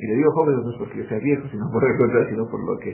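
A man talks with fairly even intonation. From Ecuador. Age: 30s. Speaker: newspaper editor. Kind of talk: interview. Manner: halting, many fillers.

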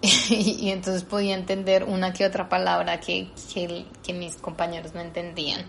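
A woman's plain, everyday voice, medium in pitch, with fairly even intonation at a moderate pace. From Colombia, Bogotá. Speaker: actress and dancer. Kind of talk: interview conversation.

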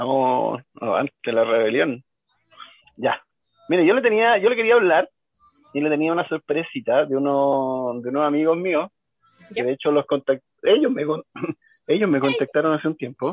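A man's fairly high pitch and lively intonation at a moderate pace, broken by long, frequent pauses. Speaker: cumbia music expert, radio co-host. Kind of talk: casual radio chat.

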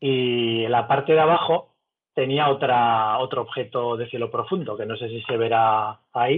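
A man's plain, everyday voice at medium pitch, with ordinary pitch variation. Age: 40s. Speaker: amateur astrophotographer. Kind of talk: casual interview.

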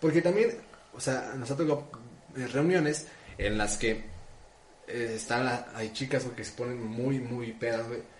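Somewhat breathy and medium-pitched, a man talks at a fairly slow pace with long, frequent pauses and ordinary pitch variation, with audible room echo. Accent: Mexican. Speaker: podcast co-host. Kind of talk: casual chat.

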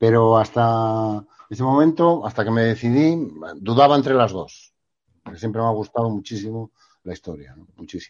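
With a quiet background, an unremarkable speaking voice moves at a moderate pace, showing ordinary pitch variation and big swings in loudness. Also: man, medium pitch for a man. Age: 50s. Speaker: journalist and professor. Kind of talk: interview.

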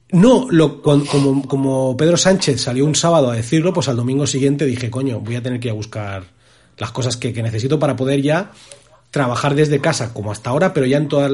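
A man talks fairly quickly at a medium pitch. His voice is somewhat breathy, with ordinary pitch variation. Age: 30s. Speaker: podcast host. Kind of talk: casual chat.

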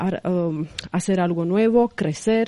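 Speaking at a very slow pace, a woman uses a medium pitch. Her pitch variation is ordinary. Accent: Romanian. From Romania, Craiova. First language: Romanian (speaking Spanish). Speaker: reporter and influencer. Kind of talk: radio interview. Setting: studio. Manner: halting, filler-laden.

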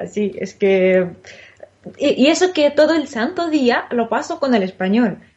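A woman speaks at a high pitch with very wide pitch swings. Her pace is fairly slow. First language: Russian (speaking Spanish). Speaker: Spanish teacher. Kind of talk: interview.

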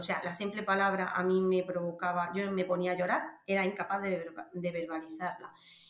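A woman speaks at a medium pitch. There is audible room echo. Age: 30s. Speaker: vaginismus patient sharing her experience. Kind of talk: interview testimony. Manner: halting.

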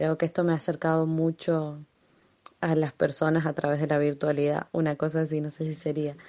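In a monotone, flat delivery, a woman speaks with a very deep, low pitch and a dark, mellow tone. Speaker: community radio project coordinator. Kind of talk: voice messages, personal account. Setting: at home.

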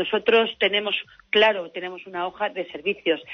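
Her pitch is medium and her intonation monotone and flat. This woman talks at a fairly quick pace. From Valencia region, Spain (Alzira). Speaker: politician. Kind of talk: interview. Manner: halting, repeated words.

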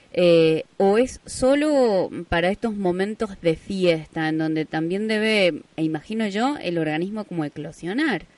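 A woman with an unremarkable speaking voice talks at a fairly slow pace and medium pitch. Her intonation is lively, with hardly any pauses. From Argentina, Jáchal, San Juan. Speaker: radio host. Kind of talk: radio interview.

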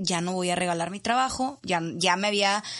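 The pace is moderate. It is a plain, everyday voice. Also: woman, quiet background. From Monterrey, Mexico. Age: 30s. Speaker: addiction counselor and coach. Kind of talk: interview testimony. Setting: studio.

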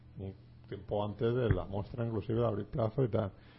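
At a moderate pace, a man speaks in a somewhat breathy voice at a fairly low pitch. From Alicante, Spain. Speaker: film podcast host. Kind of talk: casual chat. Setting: studio.

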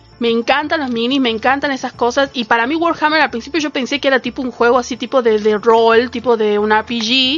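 Over background music, a woman with a high pitch talks at a fairly quick pace with hardly any pauses and fairly even intonation. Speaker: radio co-host. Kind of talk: casual chat. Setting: radio studio.

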